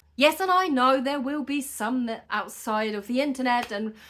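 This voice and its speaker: A woman speaks in an animated tone at a high pitch. Her voice is bright and sharp, with ordinary pitch variation. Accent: non-native. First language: not English. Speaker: hand-poke tattoo artist. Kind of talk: tutorial. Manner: casual, animated; hesitant with fillers.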